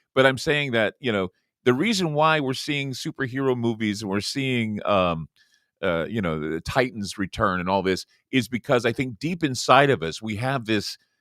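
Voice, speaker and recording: In a very clean recording with a silent background and a dry, close sound with no echo, a man with an unremarkable speaking voice at medium pitch talks at a moderate pace with lively intonation. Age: middle-aged. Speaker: radio host. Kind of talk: interview.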